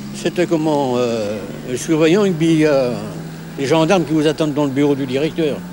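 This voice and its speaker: A man talks at a moderate pace with a fairly high pitch and ordinary pitch variation. There is noticeable background noise. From Normandy, France. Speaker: village bonesetter. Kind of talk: interview. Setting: outdoors at a bus shelter. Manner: halting, repeats words.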